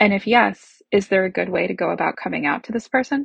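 With vocal fry, a woman speaks at a medium pitch and a fairly quick pace with ordinary pitch variation. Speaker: listener sending a question. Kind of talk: reading aloud.

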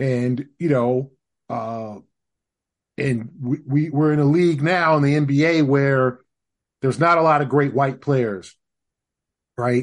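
With an American accent, a man talks at a fairly slow pace, using long, frequent pauses. His pitch is fairly high with ordinary variation, over a quiet background. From Los Angeles. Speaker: basketball writer. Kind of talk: casual chat. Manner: halting.

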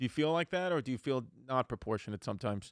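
Speaking very fast with lively intonation, a man with an American accent and a medium pitch comes through dry and close with no echo, on a very clean recording with a silent background. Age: 30s. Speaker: comedian. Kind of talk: casual chat.

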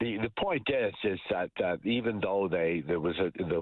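A man speaks in a Canadian accent with lively intonation. Noticeable background noise runs underneath. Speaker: energy policy analyst. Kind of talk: radio interview.

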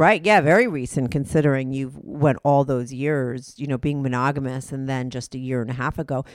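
Her pitch is very deep and low for a woman, varying in an ordinary way, and her pace is fairly quick. The recording is very clean, with a silent background. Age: 50s. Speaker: podcast host. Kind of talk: interview.

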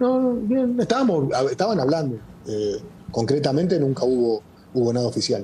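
Over noticeable background noise, a man speaks at a moderate pace in a fairly high pitch with very wide pitch swings and very even loudness. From Argentina. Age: 50s. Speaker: football coach. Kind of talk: interview.

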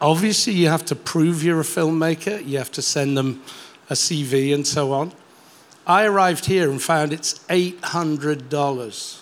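A man speaks at a very slow pace. His pitch is fairly high, with ordinary variation. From Europe. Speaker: filmmaker. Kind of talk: audience question.

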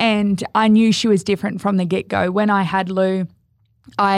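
Intonation stays fairly even in an Australian accent. The background is silent and the recording very clean. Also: woman. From Australia, Gold Coast. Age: 30s. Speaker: bereaved mother. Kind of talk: casual interview.

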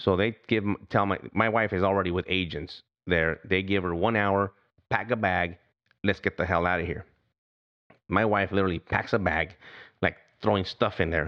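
A man with a very deep, low voice speaks at a moderate pace, leaving long, frequent pauses. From US, Mexican-American heritage. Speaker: retired federal agent. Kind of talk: campaign pitch; interview testimony. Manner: halting.

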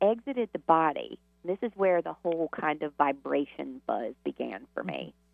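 Big swings in loudness mark a woman's speech in a Southern US accent. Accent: Southern US drawl. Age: 50s. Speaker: author and healer. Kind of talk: radio interview.

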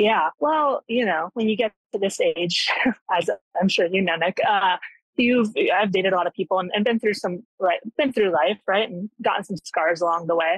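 A woman uses an ordinary speaking voice, with ordinary pitch variation, at a moderate pace. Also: medium pitch for a woman. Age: 30s. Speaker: caller. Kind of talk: phone-in advice call.

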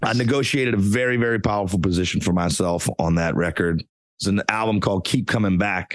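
A man speaks very fast in a fairly low voice. His loudness stays very even throughout. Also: ordinary pitch variation. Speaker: singer. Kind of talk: casual interview chat.

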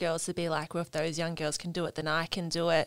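Speaking with an Australian accent at a very fast pace, a woman keeps a monotone, flat intonation in a very clean recording with a silent background. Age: 20s. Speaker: athlete and camp helper. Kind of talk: casual chat.

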